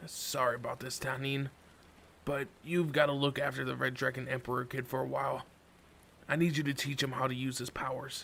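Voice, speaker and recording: Over clear background noise, a raspy, put-on character voice speaks at a moderate pace. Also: man. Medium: read story. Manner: casual, breezy.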